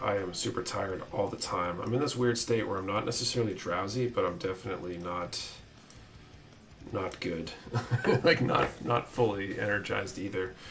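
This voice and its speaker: This is a put-on character voice, raspy and delivered at a moderate pace. Light background noise sits behind it. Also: man, fairly low pitch for a man. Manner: flat, weary.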